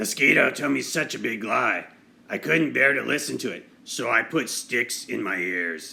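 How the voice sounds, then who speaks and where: Raspy and at a medium pitch, a man's voice carries a put-on character quality. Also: moderate pace. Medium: read story. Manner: indignant.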